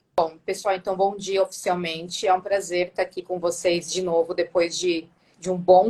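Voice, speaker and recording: The woman's voice sits at a medium pitch. Her intonation is flat and monotone. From Brazil, Santo André (São Paulo ABC region). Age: 30s. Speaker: nurse and diabetes educator. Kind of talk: live-stream interview.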